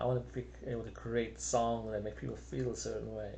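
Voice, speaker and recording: A man with a slight South African accent speaks with audible room echo around him. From South Africa, Cape Town. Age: 50s. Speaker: singer-songwriter. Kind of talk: casual monologue. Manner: unscripted, rambling with hesitations.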